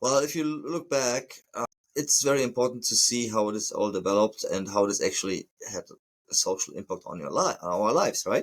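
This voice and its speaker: This man talks at a moderate pace. He has a German accent. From Germany. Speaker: plumber and podcast host. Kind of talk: podcast monologue. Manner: halting, with hesitations.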